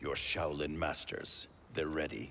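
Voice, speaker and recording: In a put-on character voice, a man growls out raspy, very deep, low-pitched lines at a fairly slow pace over clear background noise. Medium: video game. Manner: firm, clipped.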